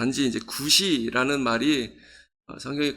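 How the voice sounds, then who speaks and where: A man's bright, sharp, medium-pitched voice at a moderate pace, on a very clean recording with a silent background. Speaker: pastor. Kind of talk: sermon. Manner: halting, many fillers.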